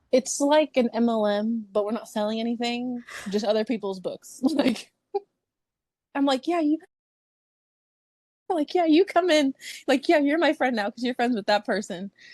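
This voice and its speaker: A loud, animated woman at a high pitch with lively intonation, a moderate pace and long, frequent pauses, in a dry, close sound with no echo. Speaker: book influencer. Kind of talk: casual chat.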